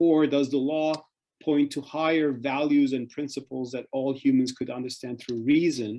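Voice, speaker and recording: Fairly high in pitch, a man talks in a dark, mellow tone with a Turkish accent. His pace is fairly quick and his pitch varies in an ordinary way. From Turkey. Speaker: author and think-tank fellow on Islam. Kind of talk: interview talk. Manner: hesitant with fillers and restarts.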